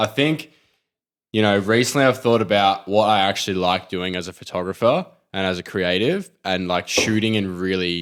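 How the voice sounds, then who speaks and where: Someone with an Australian accent talks at a moderate pace with ordinary pitch variation, on a very clean recording with a silent background. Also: man. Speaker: podcast co-host, street photographer. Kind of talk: casual chat.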